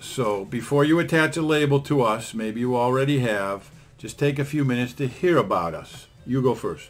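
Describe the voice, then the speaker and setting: A man talks in an unremarkable speaking voice at a moderate pace, with ordinary pitch variation. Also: medium pitch for a man. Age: 60s. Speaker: podcast host, attorney. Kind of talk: casual podcast chat.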